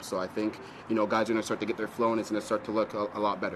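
Flat and monotone, a man with an American accent and a fairly low pitch talks at a very fast pace. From north of the US or Canada. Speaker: professional soccer player. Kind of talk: press conference answers.

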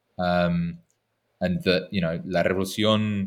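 Speaking in an English accent, a man uses a very deep, low pitch at a fairly slow pace. The recording is very clean, with a silent background. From England. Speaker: historian. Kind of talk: interview.

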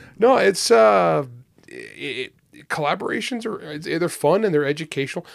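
This man's fairly high voice moves at a moderate pace, with very wide pitch swings. Vocal fry creeps in, and his loudness shifts sharply. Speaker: author and podcast host. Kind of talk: casual chat.

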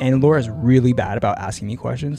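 With music in the background, a man speaks in an animated tone at a very fast pace. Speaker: podcast host. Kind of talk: casual chat. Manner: animated, jokey.

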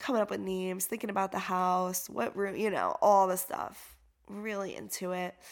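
A woman with an unremarkable speaking voice, medium pitch and fairly even intonation, in a very clean recording with a silent background. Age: 40s. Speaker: yoga teacher and trauma-sensitive life coach. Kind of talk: personal testimony, unscripted solo podcast. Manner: casual with frequent fillers.

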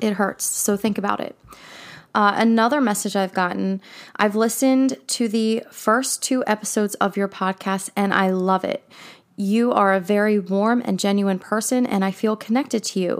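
A woman with an ordinary speaking voice talks at a moderate pace and medium pitch with fairly even intonation. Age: 30s. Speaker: podcast host. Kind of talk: solo podcast monologue, personal storytelling. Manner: casual, candid, self-deprecating.

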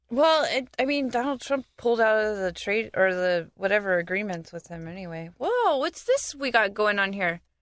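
Fairly high-pitched woman's voice in an American accent, an ordinary speaking voice with lively intonation and hardly any pauses. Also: moderate pace. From US South, Florida. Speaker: podcast co-host. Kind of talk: casual chat.

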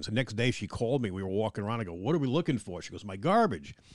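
Talking at a very fast pace with lively intonation, a man with a New York accent is heard against a quiet background. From Long Island, New York. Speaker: museum curator. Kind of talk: interview. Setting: office in a museum.

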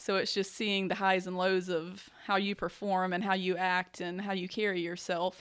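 A woman with a Southern US accent speaks at a moderate pace and a medium pitch, with hardly any pauses. Her intonation is monotone and flat, on a very clean recording with a silent background. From US South, upstate South Carolina. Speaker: college golf coach. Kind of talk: casual interview. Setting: in person at golf complex.

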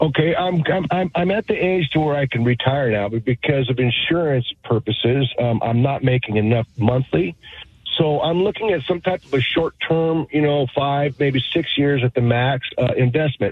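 A man talks at a medium pitch with lively intonation and very even loudness. Noticeable background noise runs underneath. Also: moderate pace. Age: 60s. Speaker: carpenter calling in. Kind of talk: radio call-in question.

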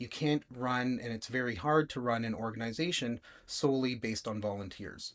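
A man's ordinary speaking voice with a Canadian accent, medium in pitch, fairly quick, with ordinary pitch variation. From Toronto, Canada. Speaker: web design agency founder. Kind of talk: casual interview chat.

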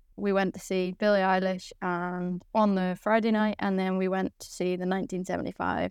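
Speaking in a Northern Irish accent, a woman at medium pitch talks at a moderate pace with monotone, flat intonation. The recording is very clean, with a silent background and a dry, close sound with no echo. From Northern Ireland. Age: 20s. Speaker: Paralympic boccia athlete. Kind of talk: casual interview chat.

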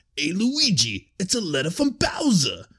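Doing a put-on character voice, a man speaks at a moderate pace in a high pitch with very wide pitch swings. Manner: exaggerated, silly.

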